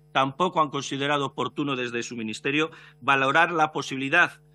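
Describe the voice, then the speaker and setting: Fairly high in pitch, a man speaks at a fairly quick pace. His intonation is fairly even. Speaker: opposition deputy. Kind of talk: parliamentary speech, defending family choice in education. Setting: parliamentary committee hearing. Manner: earnest, formal, measured. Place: hall. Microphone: podium.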